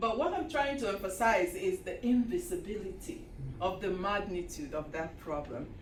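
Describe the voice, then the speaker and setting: Amid noticeable background noise and audible room echo, a woman with a fairly high pitch speaks at a moderate pace, her pitch swinging very widely. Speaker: historian. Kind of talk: lecture.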